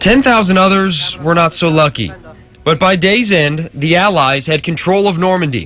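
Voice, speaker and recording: A man speaks at a high pitch with ordinary pitch variation and a moderate pace. His loudness stays very even while music plays in the background. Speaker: TV news reporter. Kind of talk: TV news report narration.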